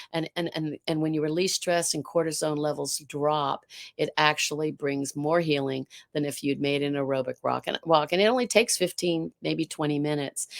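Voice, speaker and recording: The voice moves at a moderate pace with fairly even intonation, in a dry, close sound with no echo. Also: woman. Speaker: art teacher and life strategist. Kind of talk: interview conversation. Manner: halting with many repeated words.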